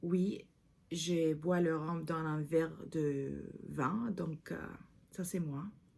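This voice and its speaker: A woman's dark, mellow voice, fairly low in pitch, at a very slow pace with fairly even intonation. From Lebanon. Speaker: video diarist. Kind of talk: vlog monologue. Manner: halting, many hesitations.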